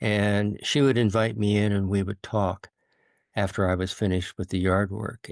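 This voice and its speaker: The background is quiet. A man with an American accent talks in a fairly low pitch. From Idaho, US. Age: 70s. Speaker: author and former journalist. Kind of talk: interview. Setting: podcast. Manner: halting, many fillers.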